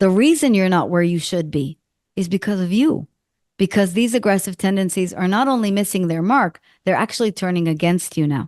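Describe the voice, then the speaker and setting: With an Israeli accent, a woman talks at a fairly quick pace in an animated tone with lively intonation and medium pitch. The sound is dry and close with no echo, and the background is quiet. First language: Hebrew. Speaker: executive coach and author. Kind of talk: interview conversation.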